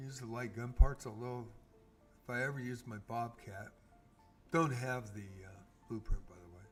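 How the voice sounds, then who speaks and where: A man with a medium pitch talks with music playing in the background. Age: 60s. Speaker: game streamer. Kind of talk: casual livestream gameplay commentary.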